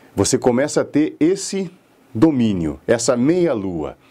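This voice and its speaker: At a moderate pace, a man speaks in a dark, mellow tone at medium pitch with very wide pitch swings. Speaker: public speaking teacher and radio announcer. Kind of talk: lecture. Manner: didactic.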